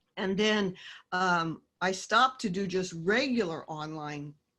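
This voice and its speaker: Bright and sharp in tone, a woman with a Midwestern US accent speaks with lively intonation over a silent background in a very clean recording. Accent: US Midwest. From Kansas. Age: 60s. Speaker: author and teacher. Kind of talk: casual interview.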